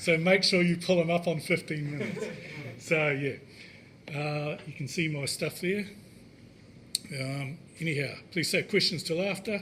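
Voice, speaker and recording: A high-pitched man with a New Zealand accent, ordinary pitch variation, a moderate pace and long, frequent pauses. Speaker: indie app developer. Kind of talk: tech meetup talk.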